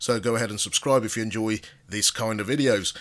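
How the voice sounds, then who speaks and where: The speech runs at a very fast pace. Its intonation stays fairly even. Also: man. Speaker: tech reviewer. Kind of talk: product review.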